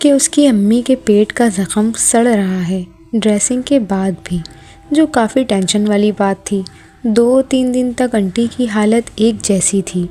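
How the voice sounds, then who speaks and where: Against music in the background, a woman speaks at a fairly high pitch with ordinary pitch variation. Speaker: horror story narrator. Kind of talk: horror story narration.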